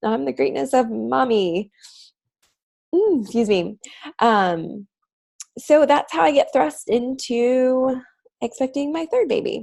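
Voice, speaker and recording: Speaking at a fairly slow pace, a woman delivers the clip. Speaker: vlogger, mother sharing parenting story. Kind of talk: personal testimony to camera. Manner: casual, filler-heavy.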